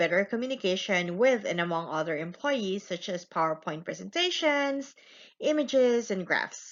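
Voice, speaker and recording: A woman speaks with a non-native accent at a medium pitch. Her intonation is lively. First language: not English. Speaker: student. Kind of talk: class presentation. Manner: slow, deliberate.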